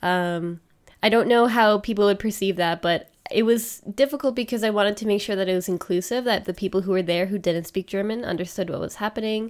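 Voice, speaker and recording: A woman talks at a fairly quick pace with a Canadian accent in an ordinary speaking voice, medium in pitch with ordinary pitch variation. The recording is very clean, with a silent background. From Canada. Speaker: streamer and podcaster. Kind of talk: casual chat.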